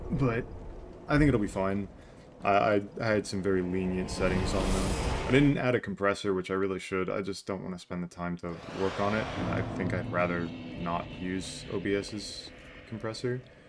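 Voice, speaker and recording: With music playing behind him, a man speaks at a moderate pace in a fairly low voice with ordinary pitch variation. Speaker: gaming streamer. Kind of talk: live gameplay commentary. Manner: soft-spoken.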